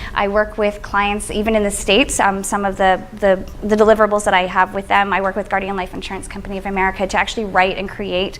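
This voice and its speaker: A woman talks at a very fast pace with hardly any pauses, her pitch medium. Noticeable background noise is present. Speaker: social media strategist. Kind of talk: presentation to an audience. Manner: energetic.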